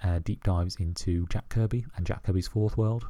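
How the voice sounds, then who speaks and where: A man with a British accent speaks at a fairly low pitch in a dark, mellow, somewhat breathy tone with fairly even intonation. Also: very clean recording, silent background. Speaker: podcast host. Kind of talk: casual solo monologue. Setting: at home. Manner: hesitant, many fillers.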